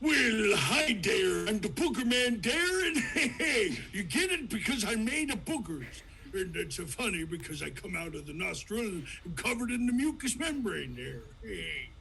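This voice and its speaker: Using a cartoonish character voice, a man speaks at an extremely high pitch and a moderate pace. Background noise is clearly heard. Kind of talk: cartoon impression, big goofy cartoon cat voice. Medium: game stream. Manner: folksy, goofy, ends phrases with "there".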